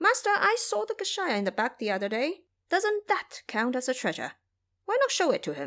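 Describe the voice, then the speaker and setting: Putting on a character voice, a woman speaks fairly quickly at an extremely high pitch that swings very widely. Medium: audio drama. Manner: cheeky and brash.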